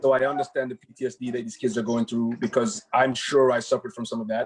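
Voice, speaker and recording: A man talks at a very fast pace, his loudness swinging widely. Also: medium pitch for a man, ordinary pitch variation. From Jamaica (Kingston, Denham Town). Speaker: doctor. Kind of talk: panel presentation. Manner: halting.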